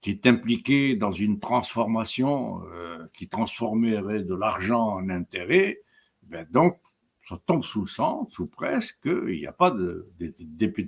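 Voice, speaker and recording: Speaking very slowly with fairly low pitch, a man lets his voice swing very widely in pitch and sharply in loudness. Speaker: professor. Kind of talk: lecture. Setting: webinar. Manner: halting.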